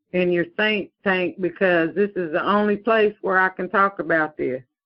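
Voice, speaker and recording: At a moderate pace, a woman talks in an unremarkable speaking voice with medium pitch and ordinary pitch variation. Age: 60s. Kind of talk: interview.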